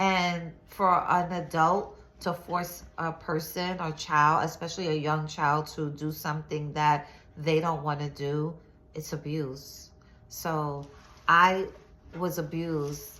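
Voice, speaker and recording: With audible room echo, a woman speaks at a very deep, low pitch in a monotone, flat delivery, very slowly and with long, frequent pauses. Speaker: social media storyteller. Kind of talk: personal testimony. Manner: halting, repetitive.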